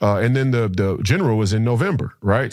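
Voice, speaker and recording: An unremarkable speaking voice from a man with an American accent, medium in pitch, at a fairly quick pace with lively intonation. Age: 30s. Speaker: political candidate and former basketball player. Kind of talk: podcast interview. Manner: frequent repetitions and fillers.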